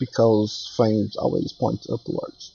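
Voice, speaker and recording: Over music in the background, a man speaks very slowly in a Brazilian Portuguese accent. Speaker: 3D artist. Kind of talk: tutorial. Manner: halting, many fillers.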